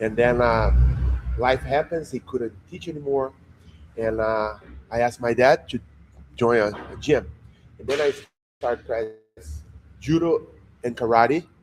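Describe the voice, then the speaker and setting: With a Portuguese accent, a man speaks at medium pitch and a fairly slow pace, using ordinary pitch variation and long, frequent pauses. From Brazil. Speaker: jiu-jitsu instructor. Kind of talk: interview. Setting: jiu-jitsu gym under construction.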